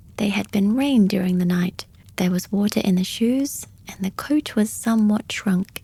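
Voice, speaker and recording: This soft-spoken voice has a dark, mellow tone and sounds somewhat breathy and calm. It moves at a moderate pace with ordinary pitch variation. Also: woman. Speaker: audiobook reader / podcast host. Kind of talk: soft-spoken bedtime story reading. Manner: soft-spoken, calm, relaxing.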